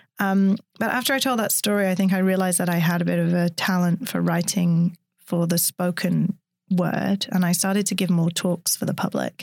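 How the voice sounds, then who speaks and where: At a moderate pace and medium pitch, a woman with an unremarkable speaking voice talks with very even loudness and fairly even intonation. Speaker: neuroscientist and science storyteller. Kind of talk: interview conversation. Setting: studio.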